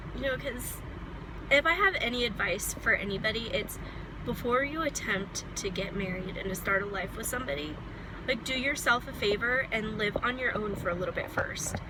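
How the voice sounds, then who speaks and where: A woman with a fairly high pitch and lively intonation speaks at a moderate pace. Noticeable background noise and audible room echo are present. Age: 20s. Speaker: vlogger. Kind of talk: personal vlog monologue. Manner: casual, with many fillers.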